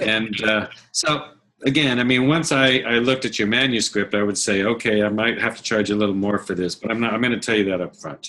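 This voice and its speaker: An unremarkable speaking voice with an American accent moves at a fairly quick pace, its pitch varying in an ordinary way. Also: man, medium pitch for a man. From Arizona. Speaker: audiobook producer. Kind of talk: webinar Q&A.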